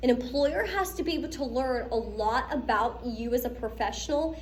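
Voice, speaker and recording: With an animated tone and a high pitch, a woman talks with ordinary pitch variation amid noticeable background noise and audible room echo. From Pittsburgh, US. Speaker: lecturer. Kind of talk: lecture.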